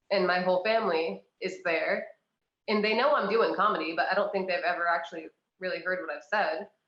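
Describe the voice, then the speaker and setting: A woman with an American accent speaks at a fairly quick pace with ordinary pitch variation, and audible room echo surrounds her voice. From New England, US (Maine). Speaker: comedian. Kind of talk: casual chat.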